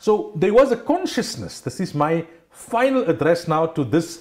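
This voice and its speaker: A man talks with lively intonation. The background is quiet. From South Africa. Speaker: Islamic scholar and radio personality; radio personality. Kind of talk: religious talk show discussion. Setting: TV studio. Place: studio. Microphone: lapel.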